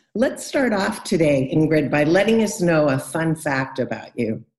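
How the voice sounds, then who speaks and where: This woman has an American accent and a very deep, low pitch. She talks at a moderate pace with very wide pitch swings. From California. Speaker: podcast host and English coach. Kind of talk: interview.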